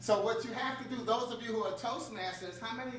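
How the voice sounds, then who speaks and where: The speaker has an American accent and a fairly quick pace. Noticeable background noise runs underneath. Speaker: motivational speaker. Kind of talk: conference talk with audience participation. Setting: stage with audience. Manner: animated.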